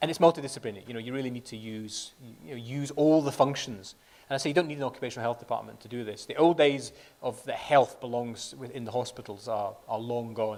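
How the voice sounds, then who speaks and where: A man with a Scottish accent talks at a very fast pace. His loudness swings widely. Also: medium pitch for a man, ordinary pitch variation. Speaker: company chief medical officer. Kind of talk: conference presentation. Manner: repetitive false starts.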